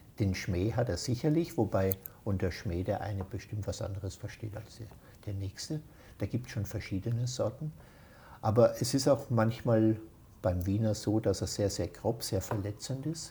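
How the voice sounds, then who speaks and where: In a very clean recording with a silent background, a man with an Austrian accent speaks at a moderate pace in a fairly low, somewhat breathy voice with a dark, mellow tone and ordinary pitch variation. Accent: Austrian dialect, still present. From Austria, Baden near Vienna. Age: 60s. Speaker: interviewee. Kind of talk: casual chat. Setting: at his home.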